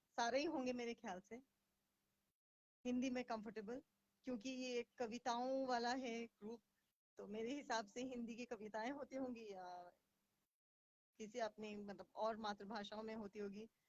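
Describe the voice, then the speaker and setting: The sound is dry and close, with no echo. A woman speaks with fairly even intonation and long, frequent pauses. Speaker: English confidence coach. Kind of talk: live stream talk in Hinglish. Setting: Facebook live stream. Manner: hesitant, frequent fillers.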